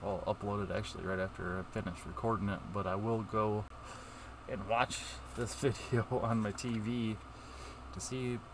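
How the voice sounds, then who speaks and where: Amid noticeable background noise but with a dry sound and no echo, a man with a fairly low pitch talks at a fairly quick pace with ordinary pitch variation and long, frequent pauses. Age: 40s. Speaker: YouTuber opening trading cards; card opening streamer. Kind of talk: casual vlog. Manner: halting. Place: home room.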